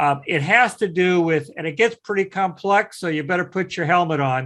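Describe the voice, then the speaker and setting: Against a quiet background, the speaker uses a Midwestern US accent at a moderate pace with ordinary pitch variation. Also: man, high pitch for a man. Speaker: CNC software instructor. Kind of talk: online class lecture.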